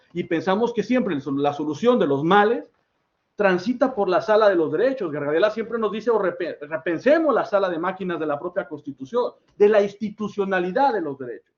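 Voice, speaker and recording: A high-pitched man at a fairly quick pace. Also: lively intonation. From Mexico. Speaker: academic speaker, political scientist. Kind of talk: academic workshop talk. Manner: fast; halting, self-correcting.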